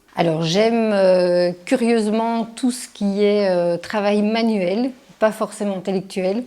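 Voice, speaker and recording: Her dark, mellow voice sits at a medium pitch for a woman. She speaks at a very slow pace with fairly even intonation. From Belgium, Charleroi (Wallonia). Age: 40s. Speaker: criminology researcher. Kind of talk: interview monologue. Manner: hesitant, many fillers.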